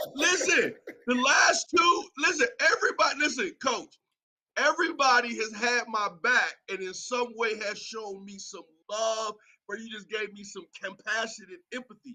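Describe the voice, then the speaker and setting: A man's raised, projected voice at an extremely high pitch, with a bright, sharp tone, lively intonation, big swings in loudness and a moderate pace. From Northeast Ohio, Youngstown. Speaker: co-host. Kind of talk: casual sports talk show. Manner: animated, playful.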